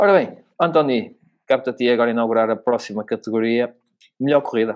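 With ordinary pitch variation around a medium pitch, a man talks at a moderate pace. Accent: European Portuguese. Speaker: F1 podcast host. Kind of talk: casual chat. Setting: remote recording.

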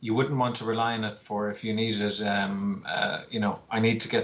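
The speaker has an Irish accent. The intonation stays monotone and flat. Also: man. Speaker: poster artist and illustrator. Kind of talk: casual interview. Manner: calm.

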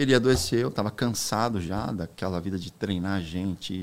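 A normal speaking voice from a man, fairly low in pitch, at a moderate pace, on a very clean recording with a silent background. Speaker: real estate broker. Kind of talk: casual chat.

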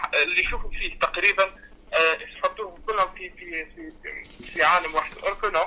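Moderate pacing from a man, his volume rising and falling sharply. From Tunisia. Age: young. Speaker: singer. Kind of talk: interview.

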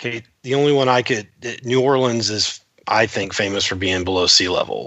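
With an American accent, a man speaks in a normal speaking voice of medium pitch, with ordinary pitch variation and a moderate pace. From Florida (Titusville). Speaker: economic development professional, quiz contestant. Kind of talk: casual quiz chat.

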